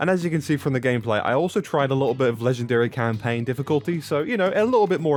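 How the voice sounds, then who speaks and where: A man talks at a very fast pace with a British accent as music plays in the background. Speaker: gaming YouTuber. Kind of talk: gaming tutorial. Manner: casual, animated.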